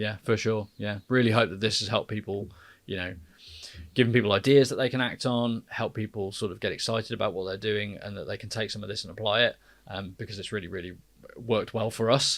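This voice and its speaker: In a very clean recording with a silent background, a man with an English accent talks very fast at a fairly low pitch, his intonation fairly even. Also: big swings in loudness. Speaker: podcast co-host, marketer. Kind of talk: casual podcast conversation. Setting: studio.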